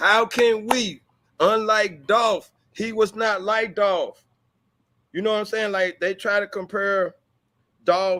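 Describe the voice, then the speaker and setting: The pace is very slow, with an American accent. The tone is bright and sharp. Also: man. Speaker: blogger. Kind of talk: casual discussion on a livestream. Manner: animated, repetitive.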